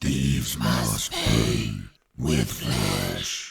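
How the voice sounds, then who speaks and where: Using a put-on character voice, a man growls in a raspy, very deep, low pitch. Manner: menacing, ominous.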